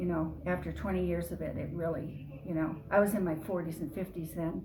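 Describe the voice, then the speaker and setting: Fairly quick female speech amid noticeable background noise and audible room echo. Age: 70s. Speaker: artist. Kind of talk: interview. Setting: artist's studio.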